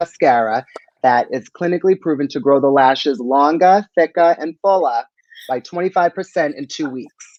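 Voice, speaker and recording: An ordinary speaking voice from a man with an American accent, fairly high in pitch, moderate in pace, with ordinary pitch variation and a dry, close sound with no echo. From US East Coast, Boston. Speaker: beauty brand expert. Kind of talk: live stream chat.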